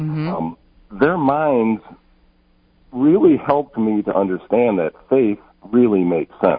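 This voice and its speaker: Very wide pitch swings mark this man's speech in an American accent. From Detroit East Side, Michigan. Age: 60s. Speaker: newly ordained priest. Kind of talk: radio interview. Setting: phone call. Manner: halting.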